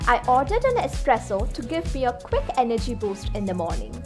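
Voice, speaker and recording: A woman speaks with music in the background. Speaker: English pronunciation teacher. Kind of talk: educational talk to camera.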